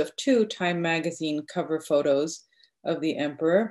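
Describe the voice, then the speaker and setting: A woman with a fairly low pitch speaks at a moderate pace against a quiet background. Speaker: literature professor. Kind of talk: academic paper presentation. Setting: video call. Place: home room. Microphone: video call.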